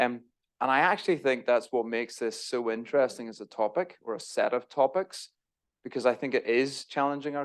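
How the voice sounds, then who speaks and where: Against a quiet background, a man with an Irish accent talks at a fairly quick pace, medium in pitch, with ordinary pitch variation. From Northern Ireland. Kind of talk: church talk. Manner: casual, self-deprecating asides.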